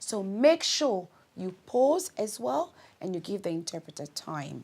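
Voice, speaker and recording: Very slow speech from a woman with a Congolese accent and very wide pitch swings. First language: Lingala. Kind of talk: instructional talk.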